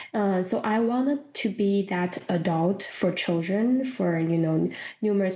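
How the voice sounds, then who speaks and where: A woman with a Chinese accent, medium pitch, a dark, mellow tone, ordinary pitch variation and a fairly slow pace. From China. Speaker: professor of school counseling. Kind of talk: interview.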